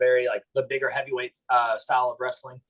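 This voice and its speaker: Here a man talks at a very fast pace with an American accent. His voice is somewhat breathy. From US South, eastern Kentucky Appalachia. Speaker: pro wrestler and chiropractor. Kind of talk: interview. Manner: hesitant, many fillers.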